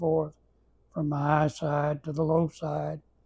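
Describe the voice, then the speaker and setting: A man with an Arkansas accent speaks very slowly in a dark, mellow, somewhat breathy tone. His intonation stays monotone and flat. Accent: Southern US (Arkansas) rural. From Arkansas, US South. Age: 80s+. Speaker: elderly storyteller. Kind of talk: casual reminiscing interview. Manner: halting, with many repetitions and fillers.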